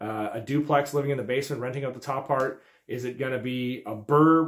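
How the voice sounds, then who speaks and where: Fairly even intonation from a male speaker. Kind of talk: tutorial. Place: office. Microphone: phone near.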